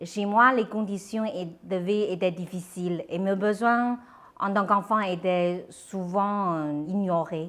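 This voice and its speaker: Very slowly and with a Chinese accent, a woman speaks at a medium pitch with fairly even intonation. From China, Shandong province. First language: Chinese (speaking French). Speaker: entrepreneur, founder of a children's clothing brand. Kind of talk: interview. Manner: hesitant, with fillers.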